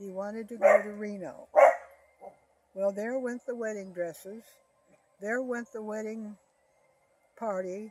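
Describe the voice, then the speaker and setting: Fairly high in pitch, a woman with an American accent talks at a fairly slow pace with fairly even intonation and long, frequent pauses. Her loudness swings widely, and noticeable background noise runs underneath. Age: 90s. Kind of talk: interview answer, life story reminiscence.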